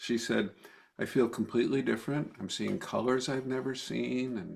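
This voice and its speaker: A man speaks at a moderate pace with a medium pitch and some vocal fry, on a very clean recording with a silent background. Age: 70s. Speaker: trauma therapist and author. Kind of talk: interview.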